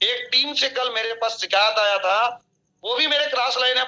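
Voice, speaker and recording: A man's raised, projected voice, extremely high in pitch, with a bright, sharp tone. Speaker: network marketing leader. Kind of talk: motivational training talk.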